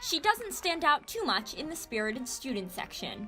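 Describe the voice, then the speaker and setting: Music plays in the background. A woman speaks with lively intonation. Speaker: student news reporter. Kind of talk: TV news report.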